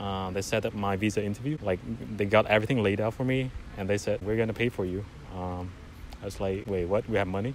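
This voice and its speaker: Speaking at a very fast pace with a Vietnamese accent, a man keeps a fairly low pitch and fairly even intonation. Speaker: graduate student. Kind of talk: interview. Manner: halting, with repeated words.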